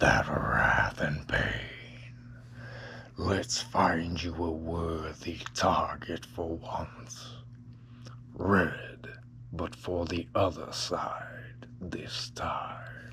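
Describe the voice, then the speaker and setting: A man whispers in a soft-spoken, put-on character voice at a very slow pace, with light background noise. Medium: read story. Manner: gentle, coaxing, sinister.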